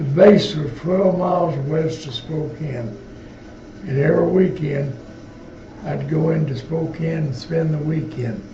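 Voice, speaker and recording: Against noticeable background noise and audible room echo, a man speaks at a fairly slow pace with ordinary pitch variation. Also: fairly high pitch for a man. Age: 80s+. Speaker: war veteran. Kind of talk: interview. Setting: veterans home.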